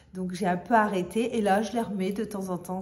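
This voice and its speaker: A woman speaks at a moderate pace and medium pitch with fairly even intonation, with audible room echo and noticeable background noise. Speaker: fashion vlogger. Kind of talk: casual product show-and-tell. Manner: hesitant, many fillers.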